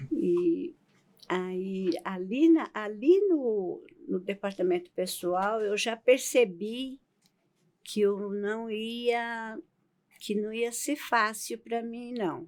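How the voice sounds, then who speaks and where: A woman's fairly high voice with lively intonation at a very slow pace. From Brazilian Northeast. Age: 80s+. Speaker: podcast guest, host's grandmother. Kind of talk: casual interview, life story. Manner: halting, with self-corrections.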